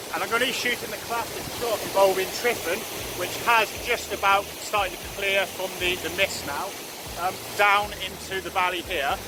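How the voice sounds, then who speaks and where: Noticeable background noise runs beneath speech at a moderate pace. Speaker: landscape photography vlogger. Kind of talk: vlog narration to camera. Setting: outdoors on a mountain. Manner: shouting.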